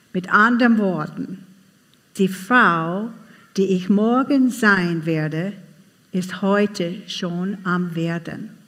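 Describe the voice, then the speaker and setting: This woman talks at a very slow pace, with long, frequent pauses. She has an English accent and a medium pitch with ordinary variation. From USA. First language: English (speaking German). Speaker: conference speaker. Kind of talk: talk to a live audience.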